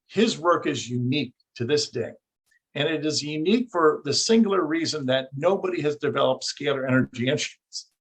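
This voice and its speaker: Somewhat breathy, a man speaks at a fairly quick pace in a fairly high pitch with lively intonation. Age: 60s. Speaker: researcher and engineer. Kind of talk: interview.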